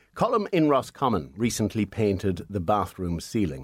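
In a very clean recording with a silent background, a man with an unremarkable speaking voice talks at a fairly low pitch and fairly slow pace with lively intonation. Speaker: radio host. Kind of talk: casual radio banter, reading listener mail. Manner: dry, teasing.

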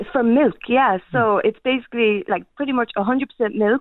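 A woman with a Kerry accent talks with fairly even intonation. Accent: Kerry Irish. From Ireland, County Kerry. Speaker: small food business owner. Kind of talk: radio interview. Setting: phone call.

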